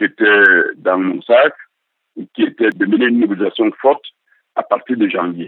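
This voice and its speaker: At a moderate pace, a man talks with a Cameroonian accent. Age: 60s. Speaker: political activist. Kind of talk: interview testimony. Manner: halting.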